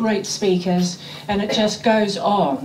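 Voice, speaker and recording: The woman's voice sits at a medium pitch and moves at a fairly slow pace. Noticeable background noise and audible room echo fill the recording. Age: 70s. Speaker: club treasurer. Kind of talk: speech.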